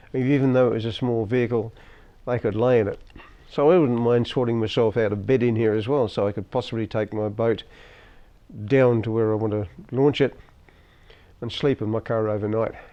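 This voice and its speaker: A man's medium-pitched voice in an Australian accent, fairly even in intonation, with long, frequent pauses. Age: 70s. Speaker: hobbyist boat owner and YouTuber. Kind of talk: casual vlog review. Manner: halting.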